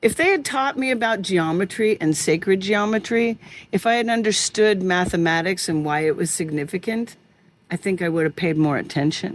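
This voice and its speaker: With a General American accent, a woman has an unremarkable speaking voice at a fairly low pitch, with ordinary pitch variation. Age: 60s. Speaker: podcast host. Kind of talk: interview conversation.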